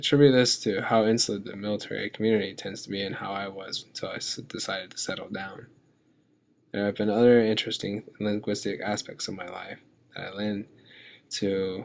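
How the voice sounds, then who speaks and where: This man talks at a fairly quick pace. His fairly low voice keeps a fairly even intonation. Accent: American. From southeastern Virginia (Tidewater). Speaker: military veteran, language student. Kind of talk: scripted narration.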